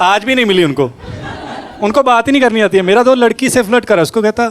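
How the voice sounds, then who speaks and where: A man with a Punjabi accent speaks in a high voice with ordinary pitch variation and very even loudness, over noticeable background noise. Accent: Punjabi-accented Hindi. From Punjab, India. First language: Punjabi (speaking Hindi). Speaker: stand-up comedian. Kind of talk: stand-up.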